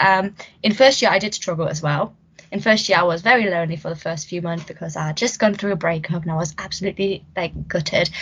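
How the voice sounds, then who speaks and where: A woman talks with a German accent. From Germany. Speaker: podcast host, student union wellbeing officer. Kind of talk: casual chat.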